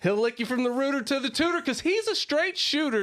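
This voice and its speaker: Raised, projected male voice at an extremely high pitch, with a bright, sharp tone and very wide pitch swings. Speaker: podcast host. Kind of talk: casual chat; scripted intro. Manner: slow; animated.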